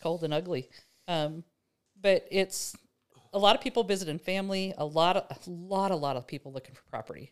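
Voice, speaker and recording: An unremarkable speaking voice at a fairly quick pace, with big swings in loudness and ordinary pitch variation, in a very clean recording with a silent background. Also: woman, fairly low pitch for a woman. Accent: American. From Nebraska. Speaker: rancher and farm-stay host. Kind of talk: casual conversation. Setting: in person at a farm.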